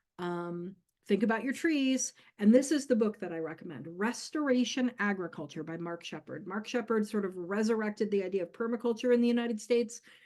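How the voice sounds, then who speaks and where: A woman with an ordinary speaking voice talks at a fairly quick pace, her fairly high pitch carried on lively intonation with big swings in loudness. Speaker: community herbalist giving a workshop. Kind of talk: workshop lecture.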